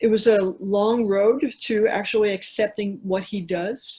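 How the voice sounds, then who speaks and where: Speaking at a very slow pace with hardly any pauses, a woman with an American accent has a medium pitch, a dark, mellow tone, a somewhat breathy quality and fairly even intonation. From New York City. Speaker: author and climber. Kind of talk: casual interview.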